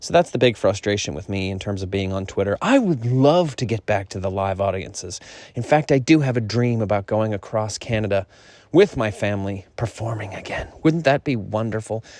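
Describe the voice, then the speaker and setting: Speaking at a fairly quick pace, a man uses an ordinary speaking voice with a fairly low pitch and ordinary pitch variation. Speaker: stand-up comedian vlogger. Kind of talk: casual monologue vlog. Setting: stepping outdoors.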